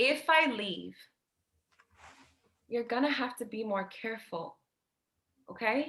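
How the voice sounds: A woman uses a put-on character voice, slow and fairly high-pitched, with lively intonation and a fairly bright tone.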